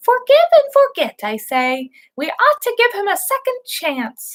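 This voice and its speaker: A put-on character voice, squeaky yet warm in tone, with very wide pitch swings at a moderate pace. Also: woman, extremely high pitch for a woman. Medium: read story. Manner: warm, friendly.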